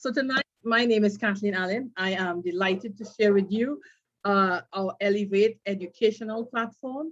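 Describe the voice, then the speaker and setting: At a moderate pace, a woman uses a normal speaking voice at medium pitch, her pitch varying in an ordinary way. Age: 50s. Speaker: brand ambassador presenting a trading course. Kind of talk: sales presentation.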